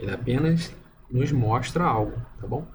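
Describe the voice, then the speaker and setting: A man speaks with vocal fry, and the room echo is audible. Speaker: religious video commentator. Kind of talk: bible study monologue. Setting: at home at night. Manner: soft-spoken; hesitant. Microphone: poor audio.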